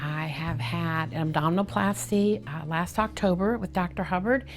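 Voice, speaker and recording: A somewhat breathy woman's voice, fairly low in pitch, with lively intonation. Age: 60s. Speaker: plastic surgery patient. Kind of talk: patient testimonial interview answer.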